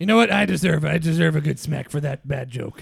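A raspy, put-on character voice talks at a moderate pace with lively intonation. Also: man, fairly high pitch for a man. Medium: comedy sketch. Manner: goofy, jokey.

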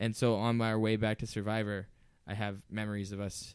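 Speaking with an American accent, a man talks at a fairly quick pace with fairly low pitch. His intonation is monotone and flat, in a very clean recording with a silent background. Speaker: podcast co-host. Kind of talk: casual chat. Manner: halting, many fillers.

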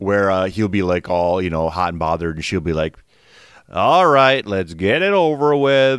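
A man with a Midwestern US accent speaks at a moderate pace, with a very deep, low pitch and lively intonation. The recording is very clean, with a silent background. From Wisconsin, US Midwest. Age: 40s. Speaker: guest, actor. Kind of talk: casual interview chat.

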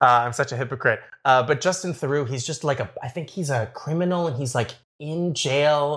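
A plain, everyday voice in a Canadian accent, with ordinary pitch variation and a moderate pace. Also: man, fairly high pitch for a man, very clean recording, silent background. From Toronto, Canada. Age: 30s. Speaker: baker and reality show contestant. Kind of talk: casual interview chat.

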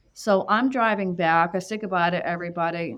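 A woman talks at a fairly quick pace with a medium pitch and fairly even intonation. Hers is a plain, everyday voice. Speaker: psychic medium. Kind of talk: casual chat.

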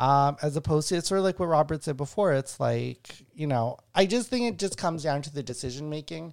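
Hardly pausing, a man talks at a fairly quick pace with a fairly high pitch and ordinary pitch variation, on a very clean recording with a silent background. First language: not English. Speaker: podcast host and stand-up comedian. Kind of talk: casual chat. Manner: halting.

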